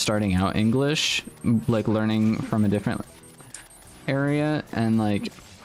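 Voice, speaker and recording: A man talks with an American accent and very even loudness. Music plays in the background. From United States. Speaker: gaming streamer. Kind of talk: live stream gaming chat. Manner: casual, rambling with fillers.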